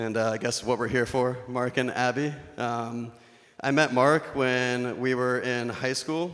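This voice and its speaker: The man's medium-pitched voice has a monotone, flat intonation. He keeps a fairly slow pace. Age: 20s. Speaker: wedding speech giver, best man. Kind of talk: wedding toast. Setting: wedding reception with audience. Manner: humorous, casual.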